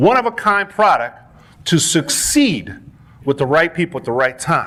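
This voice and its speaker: A man speaks at a moderate pace in an animated tone. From Panama. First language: Spanish. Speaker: network marketing leader. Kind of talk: motivational speech. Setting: stage with audience.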